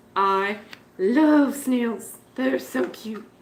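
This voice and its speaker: Audible room echo surrounds the voice. The pitch swings very widely. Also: woman. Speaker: betta fish keeper livestreaming. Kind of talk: casual livestream chat. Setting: live stream. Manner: loud.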